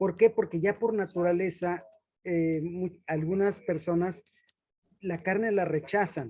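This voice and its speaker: Dark and mellow in tone, a man speaks at a fairly slow pace with fairly even intonation. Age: 60s. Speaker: roundtable panelist. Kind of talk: panel discussion.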